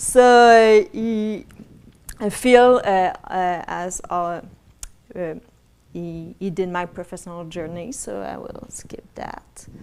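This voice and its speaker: At a very slow pace, a woman talks at a medium pitch with ordinary pitch variation and big swings in loudness. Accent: French. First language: French. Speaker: botanical garden curator. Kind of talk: presentation.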